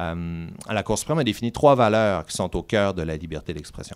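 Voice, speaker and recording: A man with a plain, everyday voice speaks at a moderate pace. His intonation is lively. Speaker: law professor. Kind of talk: lecture.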